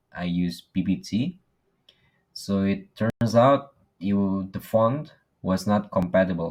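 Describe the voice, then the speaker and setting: A man with an Indonesian accent speaks in a very deep, low pitch with ordinary pitch variation. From Indonesia, Lombok. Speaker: university student. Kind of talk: class presentation. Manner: halting.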